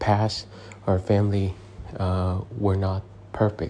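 A man's somewhat breathy voice moves along at a fairly slow pace. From abroad, immigrated to the US as a child. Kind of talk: sermon. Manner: hesitant, with frequent fillers.

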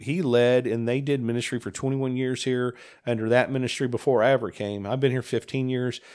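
Here a man speaks in an ordinary speaking voice at medium pitch and a fairly quick pace. The recording is very clean, with a silent background. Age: 50s. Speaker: senior pastor. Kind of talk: casual chat.

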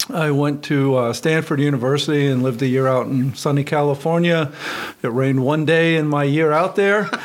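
A man with a fairly high pitch speaks at a fairly quick pace, his intonation fairly even and his loudness very even. Noticeable background noise is present. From western Pennsylvania. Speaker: engineering professor and department chair. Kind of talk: radio interview.

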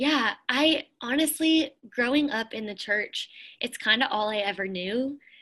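Her bright, sharp tone is high-pitched, as this woman speaks at a fairly slow pace with lively intonation. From Pennsylvania. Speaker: worship leader. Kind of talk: casual interview.

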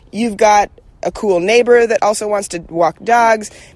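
A normal speaking voice talks at a moderate pace. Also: woman. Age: 30s. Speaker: advice guest. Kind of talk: casual advice chat.

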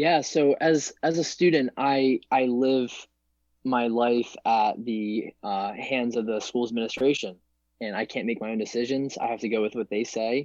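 Over a quiet background, a man speaks at medium pitch and a moderate pace with ordinary pitch variation and an unremarkable speaking voice. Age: 20s. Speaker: college student and future naval officer. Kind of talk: casual chat.

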